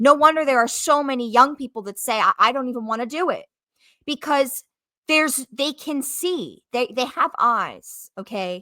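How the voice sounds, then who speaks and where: At a moderate pace, a woman projects a raised, high-pitched voice with a bright, sharp tone, ordinary pitch variation and big swings in loudness, in a very clean, dry, close recording with a silent background and no echo. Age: young. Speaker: YouTube reaction commentator. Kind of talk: reaction video commentary. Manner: casual, halting with repetitions.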